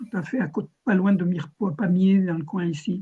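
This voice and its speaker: A man's high-pitched voice with a dark, mellow tone, fairly even intonation and a moderate pace. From southern France (Ariège). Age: 70s. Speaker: cooperative founder and real-estate consultant. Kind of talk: video-call meeting self-introduction. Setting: video call. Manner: hesitant, many fillers.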